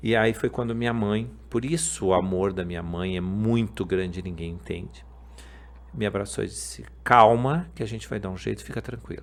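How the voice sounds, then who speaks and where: Moderately paced, a man speaks with a very deep, low pitch. His pitch swings very widely. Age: 50s. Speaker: podcast host. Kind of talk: testimony.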